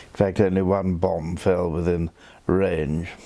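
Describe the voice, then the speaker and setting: A man talks at a very slow pace in a very deep, low pitch, his dark, mellow tone delivered with monotone, flat intonation. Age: 80s+. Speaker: wine writer. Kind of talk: interview. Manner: halting.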